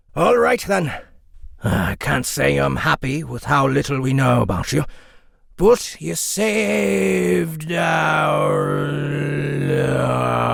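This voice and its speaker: A put-on character voice from a man, at a very slow pace. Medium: audio drama. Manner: blunt, hearty.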